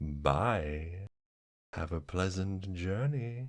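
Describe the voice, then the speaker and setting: Using a put-on character voice, a man speaks with a very deep, low pitch and lively intonation on a very clean recording with a silent background. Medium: actual play. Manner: overly polite, eerie cheerfulness.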